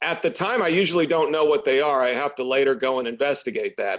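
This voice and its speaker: With lively intonation and a fairly quick pace, a man speaks in an American accent in a very clean recording with a silent background. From US Midwest, Champaign, Illinois. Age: 50s. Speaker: musician. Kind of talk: interview.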